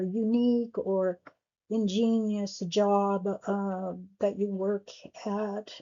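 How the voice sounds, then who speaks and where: A woman mumbling at a very slow pace in a fairly high pitch. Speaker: astrologer. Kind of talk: tutorial. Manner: halting.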